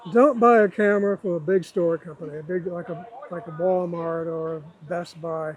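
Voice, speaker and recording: With noticeable background noise, a man with a high pitch talks at a moderate pace, his loudness swinging widely. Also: ordinary pitch variation. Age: 70s. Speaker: retired copy editor and photographer. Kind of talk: interview.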